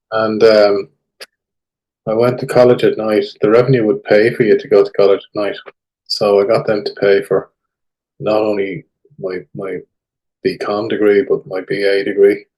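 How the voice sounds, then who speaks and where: A man with an Irish accent talks at a moderate pace. He takes long, frequent pauses. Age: 60s. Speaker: tax expert. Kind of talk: casual interview.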